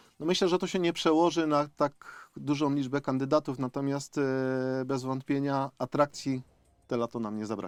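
Against a quiet background, a man talks at a moderate pace. His pitch is fairly high, with ordinary variation. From Upper Silesia, Poland (Zabrze). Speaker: mayoral candidate, former city official. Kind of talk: radio interview. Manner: hesitant, with fillers and repetitions.

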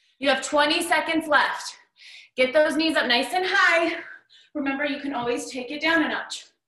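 Over a quiet background with audible room echo, a woman speaks at a moderate pace in a raised, projected voice, her tone bright and sharp and her intonation fairly even. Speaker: fitness instructor. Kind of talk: workout instruction. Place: home room. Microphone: camera far.

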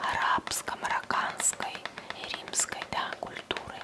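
The pace is fairly slow. A woman whispers throughout. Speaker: ASMR creator. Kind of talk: casual talk to camera, product show-and-tell. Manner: soft, close-up whisper. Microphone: studio mic.

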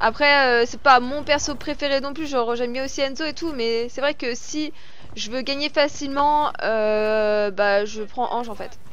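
A woman speaks at a high pitch. The sound is dry, with no echo. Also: ordinary pitch variation, fairly slow pace. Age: 30s. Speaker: gaming YouTuber and streamer; gaming streamer. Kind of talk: gameplay commentary with viewer Q&A. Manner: animated.

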